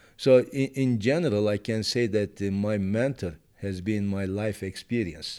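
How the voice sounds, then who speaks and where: A man's fairly low, dark, mellow voice at a fairly slow pace, with ordinary pitch variation and hardly any pauses. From Turkey. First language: Turkish. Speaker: petroleum engineering professor. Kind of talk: interview.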